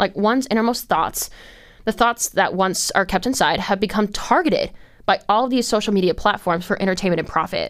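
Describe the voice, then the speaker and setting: At a fairly quick pace, a woman speaks in a plain, everyday voice of medium pitch with ordinary pitch variation, in a very clean recording with a silent background. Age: 20s. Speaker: podcast host. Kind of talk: solo commentary monologue. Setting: studio. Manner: rambling, filler-heavy.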